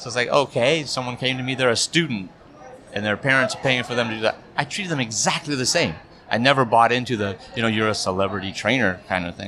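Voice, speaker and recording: Very fast male speech over noticeable background noise. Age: 50s. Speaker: corporate and wedding videographer. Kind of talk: casual chat.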